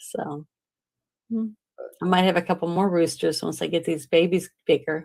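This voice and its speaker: A woman with a slight Southern US accent and vocal fry speaks at a moderate pace and fairly low pitch, her intonation fairly even, with long, frequent pauses. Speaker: podcast host. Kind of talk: casual chat. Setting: live stream.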